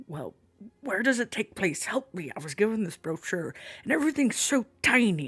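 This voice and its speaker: A man puts on a character voice pitched high. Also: moderate pace. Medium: actual play. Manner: boisterous, patronizing, warm.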